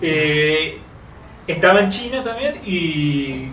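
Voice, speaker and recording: Lively intonation colors a man's high-pitched voice, with audible room echo and noticeable background noise. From Uruguay. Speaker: software developer and author. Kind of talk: technical interview.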